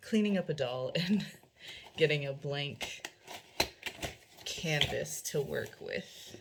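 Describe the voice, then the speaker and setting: Delivered at a very slow pace with long, frequent pauses, the speech sits over noticeable background noise. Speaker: doll customizer and YouTuber. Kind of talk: casual chat. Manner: halting, stumbling over words. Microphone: camera audio, slightly echoey.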